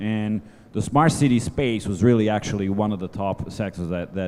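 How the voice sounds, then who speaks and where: Fairly low-pitched man's voice with a dark, mellow tone, ordinary pitch variation and a moderate pace. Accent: Italian. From Italy. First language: Italian. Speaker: economic development advisor. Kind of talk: panel discussion. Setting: stage with audience. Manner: halting.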